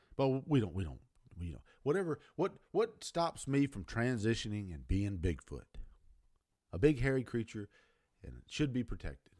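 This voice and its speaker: A man with an American accent speaks in a dark, mellow tone at a medium pitch, with very wide pitch swings and big swings in loudness. His pace is moderate, with long, frequent pauses. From United States. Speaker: video commentator. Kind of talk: angry opinion rant. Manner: emphatic, blunt, confrontational; rambling, repeats words, stumbles.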